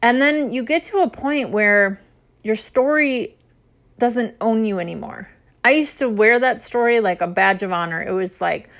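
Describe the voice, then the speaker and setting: A woman in a normal speaking voice with an American accent, fairly high pitch, lively intonation, and a moderate pace against a quiet background. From US Midwest. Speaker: podcast host, photographer and intuitive coach. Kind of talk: personal storytelling monologue.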